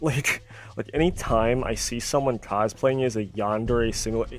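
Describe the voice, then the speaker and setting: A man speaks with music playing in the background. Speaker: gaming commentary YouTuber. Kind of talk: commentary rant. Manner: animated; stuttering.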